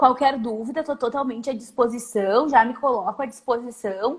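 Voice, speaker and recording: High female voice with ordinary pitch variation, at a moderate pace. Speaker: psychologist and professor. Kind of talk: live-stream interview. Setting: Instagram live video call.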